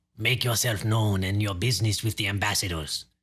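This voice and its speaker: A put-on character voice from a man, fairly low in pitch and at a fairly quick pace, on a very clean recording with a silent background. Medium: read story. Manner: formal, clipped, quietly menacing.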